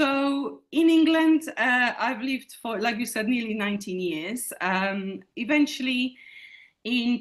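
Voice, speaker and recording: A woman with a Polish accent, at a moderate pace. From Poland. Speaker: teacher. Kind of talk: interview. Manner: halting.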